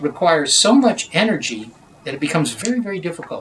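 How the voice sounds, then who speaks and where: The speech from a man is very fast. Some light noise sits in the background. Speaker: interviewee. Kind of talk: interview answer. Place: office.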